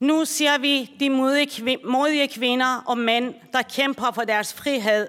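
Very slowly, a woman with a Persian accent speaks at a high pitch in a bright, sharp tone with fairly even intonation. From Iran. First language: Persian (speaking Danish). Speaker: social worker. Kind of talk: speech. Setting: conference hall. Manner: formal.

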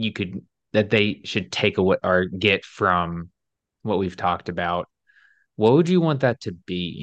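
In an American accent, a man with an ordinary speaking voice and a fairly low pitch talks at a fairly slow pace. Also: dry, close sound with no echo, quiet background. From US South (Alabama). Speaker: podcast host. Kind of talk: casual interview chat.

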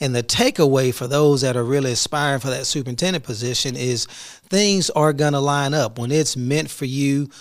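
Fairly high-pitched speech from a man in a plain, everyday voice, with an American accent and ordinary pitch variation. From Houston, Texas. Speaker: school superintendent. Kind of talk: solo podcast reflection.

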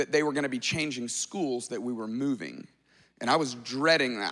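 Over a very clean recording with a silent background, a man talks in an animated, bright, sharp tone. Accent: American. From US South, Alabama. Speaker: pastor. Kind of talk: sermon. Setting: church.

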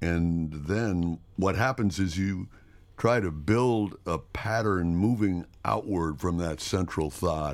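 The man's pitch is very deep and low, with ordinary pitch variation. He speaks at a very slow pace. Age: 70s. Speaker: podcast co-host. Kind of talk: casual conversational podcast.

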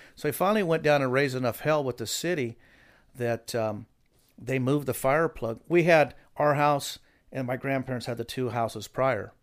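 A man with a normal speaking voice, medium pitch, ordinary pitch variation and a moderate pace, on a very clean recording with a silent background. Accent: American. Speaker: hot rod builder. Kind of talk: casual chat. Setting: studio.

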